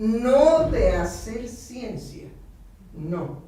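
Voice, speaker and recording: Noticeable background noise and audible room echo surround a woman who speaks at a very slow pace. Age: 80s+. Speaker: psychoanalyst radio host. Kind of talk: casual chat. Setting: radio studio.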